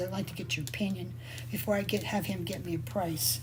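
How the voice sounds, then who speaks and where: The recording carries noticeable background noise and audible room echo. The speaker is a woman. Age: 60s. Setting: live video session from her workshop. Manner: casual, chatty.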